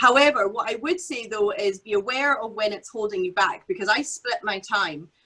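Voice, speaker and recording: A woman speaks with hardly any pauses and lively intonation. Her pitch is fairly high. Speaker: business founder on furlough from day job. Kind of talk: panel discussion. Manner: fast.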